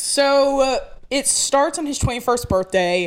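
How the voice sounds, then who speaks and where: A woman with a rural Southern US accent, lively intonation and a very slow pace. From rural north Georgia, US South. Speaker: podcast co-host. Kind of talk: casual chat. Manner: animated storyteller.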